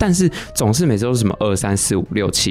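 Amid noticeable background noise, a man with a Taiwanese accent speaks with very wide pitch swings. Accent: Taiwanese Mandarin. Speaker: substitute podcast host. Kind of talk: casual chat.

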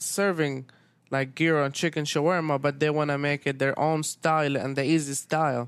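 With an Arabic accent, a man speaks fairly quickly in a flat monotone at a fairly high pitch, on a very clean recording with a silent background. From Syria. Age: 20s. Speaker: restaurant owner. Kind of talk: casual interview.

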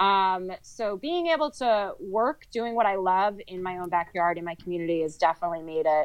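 This woman has a normal speaking voice, medium in pitch, with an American accent. She keeps a moderate pace with hardly any pauses. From New Jersey, Sussex County. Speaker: conservation coordinator. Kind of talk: podcast interview.

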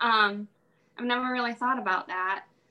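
The speaker has an American accent. The pitch varies in an ordinary way. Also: woman. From Illinois, US Midwest. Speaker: farmer and farmer's wife. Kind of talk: casual interview chat.

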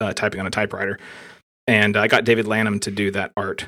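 A man's very fast, monotone delivery, fairly low in pitch, with a bright, sharp tone and flat intonation. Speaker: software developer, creator of a blogging framework. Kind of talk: casual tech interview.

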